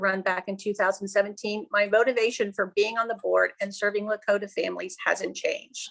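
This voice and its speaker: Over a very clean recording with a silent background, a woman with an American accent speaks at a very fast pace with vocal fry, a medium pitch and ordinary pitch variation. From Cincinnati, Ohio. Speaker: school board member running for re-election. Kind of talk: candidate opening statement. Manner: formal.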